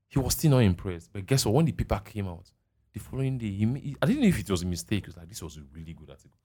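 A man with a fairly low pitch talks at a very fast pace in an animated tone, with lively intonation and big swings in loudness. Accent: Nigerian. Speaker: podcast host. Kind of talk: casual chat.

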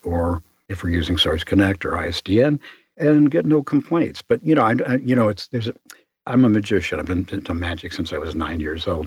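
A man with a Chicago accent speaks at a fairly low pitch, somewhat breathy with lively intonation, in a dry, close sound with no echo and a very clean recording with a silent background. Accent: Chicago American. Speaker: voice actor and booth maker. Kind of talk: interview.

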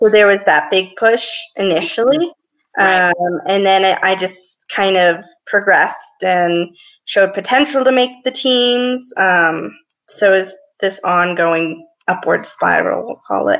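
A woman talks in an ordinary speaking voice at medium pitch, with ordinary pitch variation and a fairly slow pace. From US, small town. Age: 20s. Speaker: Paralympic swimmer. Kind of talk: interview.

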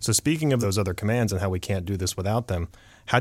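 A man's fairly low voice, with ordinary pitch variation, comes through on a very clean recording where the background is silent. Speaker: podcast host. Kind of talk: scripted narration.

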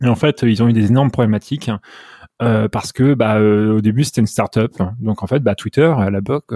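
Recorded very cleanly with a silent background and a dry, close sound with no echo, a man speaks fairly quickly in a dark, mellow tone with fairly even intonation. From France, Normandy. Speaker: software engineer. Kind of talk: interview. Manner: halting, many repetitions.

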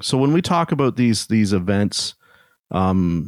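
In a Canadian accent, a normal speaking voice moves at a moderate pace with lively intonation. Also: man, dry, close sound with no echo. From Canada. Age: 40s. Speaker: podcast host and automotive technician. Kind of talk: casual interview chat.

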